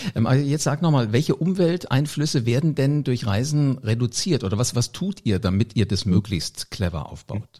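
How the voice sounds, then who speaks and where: With lively intonation and hardly any pauses, the somewhat breathy voice has a dark, mellow tone and a moderate pace. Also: man, medium pitch for a man. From Hesse, Germany. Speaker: podcast host. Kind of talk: interview.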